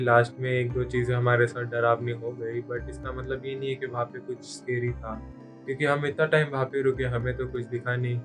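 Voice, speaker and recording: Music in the background under a man's voice, moderate pace, fairly even intonation. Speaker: YouTube horror storyteller. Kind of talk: haunted legend narration.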